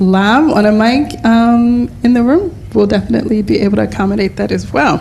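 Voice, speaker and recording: Noticeable background noise sits behind a woman with an American accent who speaks at a moderate pace, fairly high in pitch with ordinary pitch variation. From United States. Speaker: panel moderator. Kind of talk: panel discussion moderation. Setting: live event with in-room and online audience.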